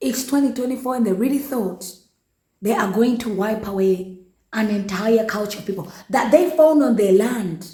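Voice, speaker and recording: A woman uses a put-on character voice, hoarse and fairly high in pitch. She goes at a moderate pace, with audible echo around her. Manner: indignant.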